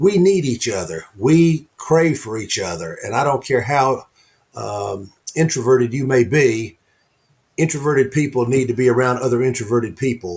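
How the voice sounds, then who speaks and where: Somewhat breathy, a man talks at a moderate pace and medium pitch with lively intonation. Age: 70s. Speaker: author and networking speaker. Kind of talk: interview conversation.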